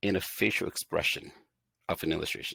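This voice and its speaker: A man talking at a fairly quick pace, dry and close with no echo. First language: not English; English is third language. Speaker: instructional design expert and educator. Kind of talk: casual interview. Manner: halting, frequent fillers and restarts.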